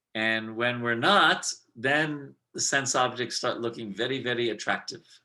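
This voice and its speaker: A man speaks at a medium pitch with a bright, sharp tone. Audible room echo surrounds his voice. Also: ordinary pitch variation, fairly slow pace. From northern India. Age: 60s. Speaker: spiritual teacher. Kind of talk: lecture. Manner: halting.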